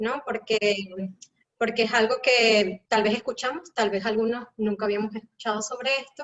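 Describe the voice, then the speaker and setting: With a Venezuelan accent, a woman speaks at a fairly high pitch and a moderate pace, her intonation fairly even. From Caracas, Venezuela. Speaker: educator. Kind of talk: live panel talk.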